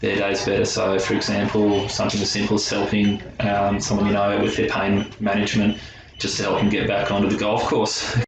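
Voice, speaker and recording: Over music in the background, a man with a rural Australian accent talks at a fairly quick pace in a fairly low pitch, with monotone, flat intonation and very even loudness. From Australia, rural New South Wales farm. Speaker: pharmacy intern. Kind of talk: interview testimony.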